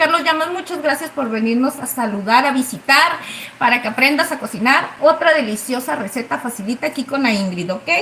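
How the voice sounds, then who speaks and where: A woman's high-pitched, raised and projected voice with an animated tone, lively intonation and a fairly quick pace, over noticeable background noise. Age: 30s. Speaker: cooking livestream host. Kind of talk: live cooking stream chat.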